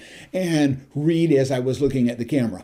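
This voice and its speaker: At a moderate pace, a man talks in a fairly high voice with a dark, mellow tone and ordinary pitch variation. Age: 70s. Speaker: YouTube tutorial vlogger. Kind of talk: casual vlog address to viewers. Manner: conversational, with filler hesitations.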